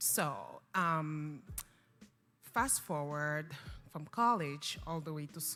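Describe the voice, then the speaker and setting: In a French accent, a woman speaks with a bright, sharp tone and a very deep, low pitch. Her pace is very slow. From Cameroon. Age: young. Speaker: non-profit founder. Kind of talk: talk show interview.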